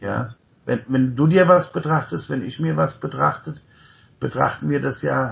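A man talks at a medium pitch. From Germany, Rhine-Main area near Mainz. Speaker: podcast host and coach. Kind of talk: conversational interview. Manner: frequent fillers and tag ja.

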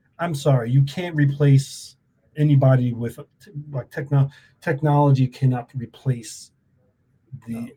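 Somewhat breathy and dark, mellow in tone, a man speaks at a moderate pace with fairly even intonation and long, frequent pauses. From New York. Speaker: podcast host. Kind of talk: casual interview. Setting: video call.

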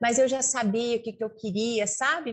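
Her pitch sits fairly high. The woman speaks at a moderate pace with fairly even intonation. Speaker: veterinarian, rural producer and radio host. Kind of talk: interview. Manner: fluent, hesitant fillers.

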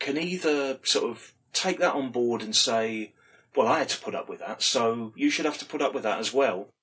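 This man speaks with a British accent and a fairly high pitch. His pitch swings very widely. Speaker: podcast host, former pro wrestler. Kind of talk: casual interview chat.

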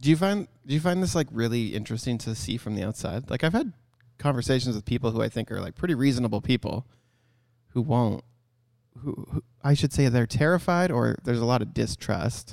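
With a Canadian accent and an ordinary speaking voice, the speaker moves at a fairly quick pace with lively intonation in a very clean recording with a silent background. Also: man, medium pitch for a man. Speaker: photography business owner and podcast co-host. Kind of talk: casual chat. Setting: photography studio.

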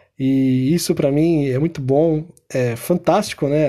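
Very slow in pace, a man speaks with a dark, mellow tone. His pitch is fairly high, with ordinary variation. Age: 30s. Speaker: podcast host. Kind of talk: casual commentary. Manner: animated.

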